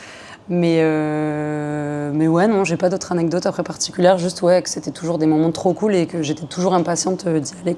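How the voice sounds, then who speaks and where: At a moderate pace and with hardly any pauses, a woman with a fairly low voice speaks in fairly even intonation while her loudness swings widely. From southern France. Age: 20s. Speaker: hip-hop dancer. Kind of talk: podcast interview.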